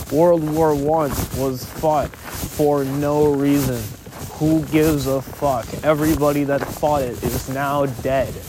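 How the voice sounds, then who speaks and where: Against noticeable background noise, the words come at a very slow pace. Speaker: solo podcaster. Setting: outdoors, walking through suburban streets. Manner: casual, rambling, sometimes laughing.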